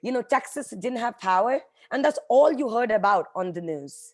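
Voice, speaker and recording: With an Indian accent, a woman speaks in an animated tone at a fairly high pitch, her voice making very wide pitch swings in a very clean recording with a silent background. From India, Mumbai. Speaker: nonprofit executive. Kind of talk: motivational talk.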